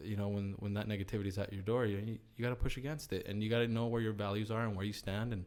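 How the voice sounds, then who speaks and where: A Spanish accent with monotone, flat intonation. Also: man. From US, child of Chilean immigrants. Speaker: company CEO. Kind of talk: podcast interview. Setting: studio. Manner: casual, many filler words and repetitions.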